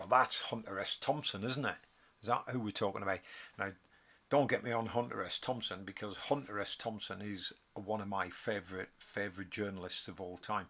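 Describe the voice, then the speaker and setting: A man's fairly low voice with a Geordie accent, bright and sharp in tone, with fairly even intonation. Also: very clean recording, silent background. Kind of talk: casual live stream talk. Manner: hesitant, rambling.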